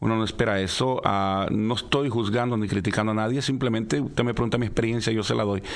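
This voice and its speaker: Moderate-paced, fairly low-pitched male speech amid audible room echo. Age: 50s. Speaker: pastor. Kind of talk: radio interview, personal testimony.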